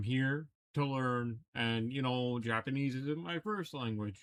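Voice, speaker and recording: A man speaks at a moderate pace and medium pitch with ordinary pitch variation. The sound is dry and close, with no echo. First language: Italian. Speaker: metal guitarist reacting to music. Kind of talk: reaction video commentary. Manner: casual, hesitant with fillers.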